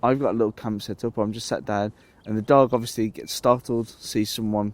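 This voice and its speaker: A man with an English accent, fairly low in pitch, fairly quick in pace, and fairly even in intonation. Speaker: outdoors vlogger. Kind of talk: casual vlog talk to camera. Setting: outdoors in woodland camp. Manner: hesitant with repetitions.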